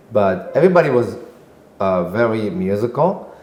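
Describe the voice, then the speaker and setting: The speaker has an Israeli accent. Noticeable background noise runs behind the voice. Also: man. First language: Hebrew. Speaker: singer and composer. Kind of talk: podcast interview answer.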